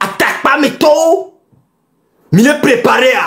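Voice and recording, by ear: A man speaks at a fairly slow pace with an extremely high pitch for a man. His fairly bright tone comes with lively intonation.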